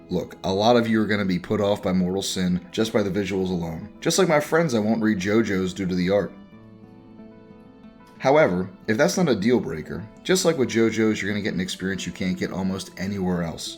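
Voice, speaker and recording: Music plays in the background as a man speaks. His voice is fairly low, with ordinary pitch variation. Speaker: streamer. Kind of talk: video game review narration.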